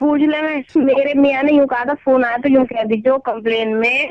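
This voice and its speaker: A woman with a high pitch, a moderate pace and fairly even intonation. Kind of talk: prank call victim, casual phone talk. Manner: annoyed, complaining.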